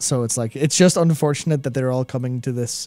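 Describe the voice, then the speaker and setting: A man talks at a fairly quick pace with fairly even intonation, the sound dry with no echo and faint music in the background. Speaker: podcast co-host. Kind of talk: podcast discussion. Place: studio. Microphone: studio mic.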